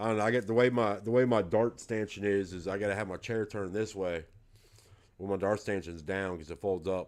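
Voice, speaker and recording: Man with a fairly low pitch, fairly even intonation and a fairly quick pace. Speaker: darts livestreamer. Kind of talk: casual livestream chat. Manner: soft-spoken.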